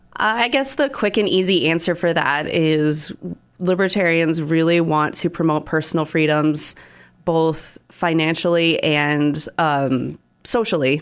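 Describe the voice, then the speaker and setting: In a very clean recording with a silent background, a woman with an American accent speaks at a fairly slow pace, with ordinary pitch variation and very even loudness. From Nebraska, US Midwest. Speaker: political candidate. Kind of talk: radio interview. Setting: studio.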